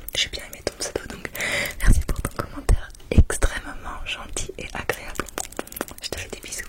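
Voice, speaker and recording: A woman whispers at a moderate pace with long, frequent pauses and big swings in loudness, against noticeable background noise. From England. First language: English (speaking French). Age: 30s. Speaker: ASMR creator. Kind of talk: ASMR shout-outs. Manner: whispering.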